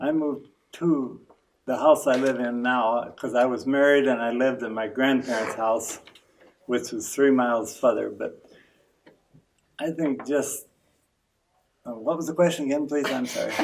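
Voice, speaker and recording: A man with a Midwestern US accent and medium pitch speaks at a moderate pace with fairly even intonation and long, frequent pauses. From eastern Iowa, Jackson County. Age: 80s+. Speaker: longtime local resident. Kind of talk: interview. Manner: halting.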